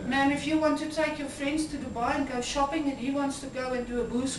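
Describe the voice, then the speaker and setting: Over noticeable background noise, a woman speaks at a moderate pace with a high pitch. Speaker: salesperson. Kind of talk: live sales pitch.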